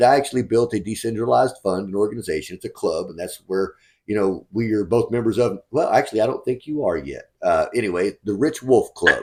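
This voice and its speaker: In a Southern US accent, a man talks at a fairly quick pace. The recording is very clean, with a silent background. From West Texas. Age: 40s. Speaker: real estate fund manager. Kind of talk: interview. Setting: call.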